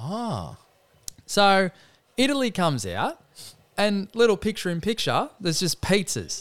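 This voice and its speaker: Speaking in an Australian accent, a man uses a high pitch and lively intonation. His pace is fairly slow, with long, frequent pauses. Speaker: podcast host, sports talk. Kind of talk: casual banter about sport.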